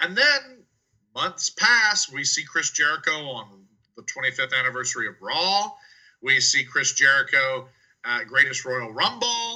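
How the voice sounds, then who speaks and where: The voice moves at a fairly slow pace, with big swings in loudness. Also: man. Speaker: wrestling podcast co-host. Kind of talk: casual chat.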